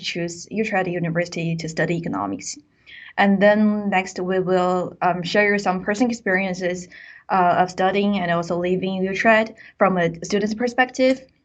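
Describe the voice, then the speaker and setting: A woman with a Chinese accent talks at a moderate pace and medium pitch, her intonation fairly even. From China. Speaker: university student presenter. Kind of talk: webinar presentation. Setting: online webinar.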